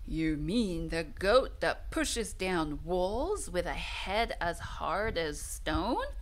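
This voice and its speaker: In a put-on character voice, a woman speaks at a very slow pace with a rumbling sound over noticeable background noise. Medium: read story.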